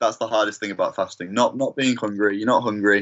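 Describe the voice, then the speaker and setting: This man speaks with a Manchester accent at a fairly low pitch. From Manchester, England. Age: 20s. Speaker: singer-songwriter. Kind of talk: interview. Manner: halting.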